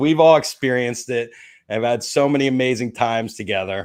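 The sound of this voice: A man with a New Jersey accent talks at a fairly quick pace in a medium pitch against a quiet background.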